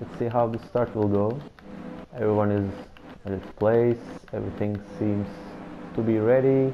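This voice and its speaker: A man with a non-native accent speaks with fairly even intonation and long, frequent pauses. Noticeable background noise runs underneath. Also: fairly low pitch for a man, moderate pace. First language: not English. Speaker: esports race commentator. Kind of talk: live commentary. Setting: recorded video commentary of game. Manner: halting, filler-heavy.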